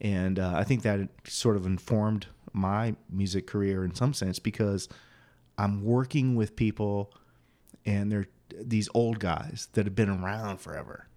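A man speaks in a dark, mellow tone with fairly even intonation. The recording is very clean with a silent background. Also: fairly low pitch for a man. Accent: American. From Quincy, Illinois (rural western Illinois, US Midwest). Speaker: singer-songwriter and guitar teacher. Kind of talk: casual interview chat. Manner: casual, with many fillers.

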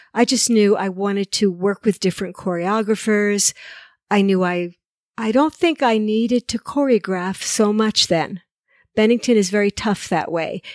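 With an American accent and a plain, everyday voice, a woman speaks at a moderate pace and medium pitch with ordinary pitch variation, in a very clean recording with a silent background and dry, close sound with no echo. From New Jersey. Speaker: choreographer. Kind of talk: interview. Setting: in her home.

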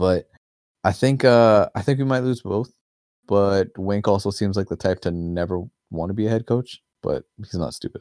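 At a moderate pace, a man speaks in a plain, everyday voice, fairly low in pitch with ordinary pitch variation. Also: dry, close sound with no echo. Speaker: podcast host. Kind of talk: casual sports chat.

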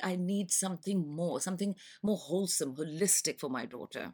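With a Pakistani accent, a woman talks at a fairly quick pace and medium pitch with lively intonation, on a very clean recording with a silent background. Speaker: school parent. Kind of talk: podcast interview.

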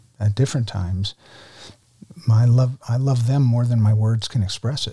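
A man's dark, mellow, somewhat breathy voice with an American accent. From New Jersey, US. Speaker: former ministry director and guest lecturer. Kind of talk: testimony.

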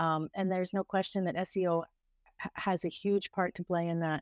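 A woman with a Canadian accent speaks at a fairly quick pace in a normal speaking voice, her pitch medium. The recording is very clean, with a silent background. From Canada (Ontario). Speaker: travel blogger and tour operator. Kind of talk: interview.

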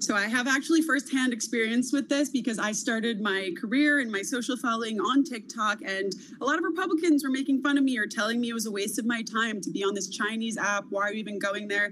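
Against noticeable background noise, a woman speaks at a very fast pace with hardly any pauses, her fairly high pitch showing ordinary variation. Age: 20s. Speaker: social media commentator. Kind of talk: interview.

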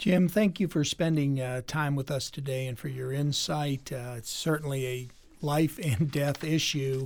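A man with a plain, everyday voice talks at a fairly slow pace and a fairly high pitch. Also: ordinary pitch variation. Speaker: podcast host, lawyer. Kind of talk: casual interview.

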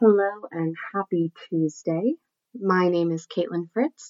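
A woman's fairly low voice at a very slow pace, with ordinary pitch variation. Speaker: podcast host. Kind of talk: solo podcast monologue.

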